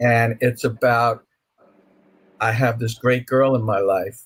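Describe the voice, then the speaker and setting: A man speaks at a fairly slow pace in a medium pitch. His voice is somewhat breathy. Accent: American. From New York (Brooklyn). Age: 60s. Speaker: author. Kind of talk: interview.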